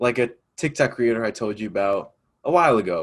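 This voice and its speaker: Here is a man with an unremarkable speaking voice and an American accent. His pitch is medium and his pace moderate. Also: very clean recording, silent background. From upstate New York. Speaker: student podcast host. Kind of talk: casual chat.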